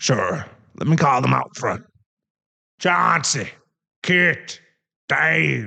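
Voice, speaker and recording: A raspy, put-on character voice from a man at a medium pitch, very slow, with long, frequent pauses. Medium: audio drama. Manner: awkward, jokey.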